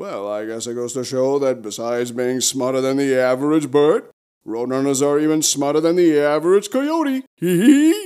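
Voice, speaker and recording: A man puts on a character voice at a fairly high pitch. He speaks at a moderate pace. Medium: comedy sketch. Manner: jaunty, wisecracking, chuckling.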